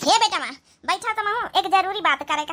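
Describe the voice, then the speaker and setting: This woman does a cartoonish character voice, squeaky and extremely high-pitched, with lively intonation. She races along at a very fast pace with big swings in loudness. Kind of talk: comic overacting. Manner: scolding, rustic Awadhi talk.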